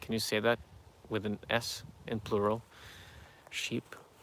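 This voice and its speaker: A man with a non-native accent and a bright, sharp tone speaks at a very slow pace. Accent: noticeable foreign. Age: 30s. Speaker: YouTuber answering viewer questions. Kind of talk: live stream Q&A reading chat. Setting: outdoors near farm animals. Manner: halting, many fillers.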